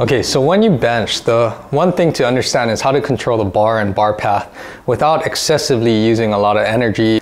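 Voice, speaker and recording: The pace is fairly quick. A man speaks with ordinary pitch variation. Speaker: fitness coach. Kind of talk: tutorial.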